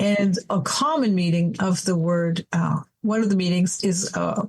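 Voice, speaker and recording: A woman with a normal speaking voice talks at a fairly slow pace and medium pitch. Her loudness stays very even, with ordinary pitch variation. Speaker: adult educator and coach. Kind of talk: podcast interview.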